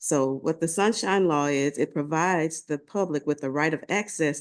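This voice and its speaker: A woman talks at a moderate pace with a very deep, low pitch that varies in an ordinary way. Behind her the background is quiet. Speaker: government agency staff presenter. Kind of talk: meeting presentation. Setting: committee meeting.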